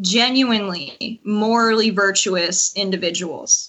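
A woman with a normal speaking voice talks at a fairly slow pace. Her pitch is fairly high and her intonation lively. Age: young. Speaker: caller. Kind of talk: personal advice call.

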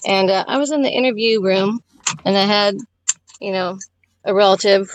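A woman's plain, everyday voice at a medium pitch, with moderate pace, ordinary pitch variation and a dry, close sound free of echo. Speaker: stay-at-home mother. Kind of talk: casual chat.

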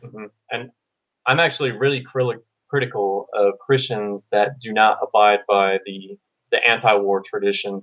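At a moderate pace, a normal speaking voice shows big swings in loudness. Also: man, fairly low pitch for a man. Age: 20s. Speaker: military veteran, caller. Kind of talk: call-in conversation.

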